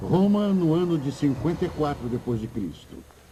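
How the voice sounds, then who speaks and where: A man talks at a moderate pace while music plays behind him. His pitch swings very widely. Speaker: dubbing narrator. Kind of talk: documentary narration.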